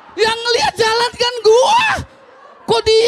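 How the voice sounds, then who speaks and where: Over crowd noise in the background, a man speaks at a very slow pace. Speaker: stand-up comedian and ojol driver. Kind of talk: stand-up comedy. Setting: stage with audience. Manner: complaining, unlucky-underdog persona, mimicking dialogue. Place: stage. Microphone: handheld.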